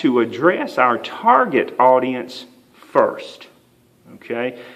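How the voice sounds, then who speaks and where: Against noticeable background noise and audible room echo, a man with a Southern US accent speaks with lively intonation. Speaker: writing instructor. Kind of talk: lecture. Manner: frequent fillers (uh, um).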